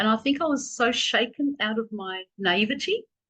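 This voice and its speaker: A woman with an Australian accent, fairly high pitch and a bright, sharp tone speaks with lively intonation against a quiet background. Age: 60s. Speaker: professor and activist. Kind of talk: Q&A answer.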